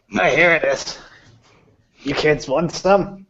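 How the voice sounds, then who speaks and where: Using a put-on character voice, a man speaks with a high pitch at a fairly slow pace. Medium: actual play. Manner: gruff, casual.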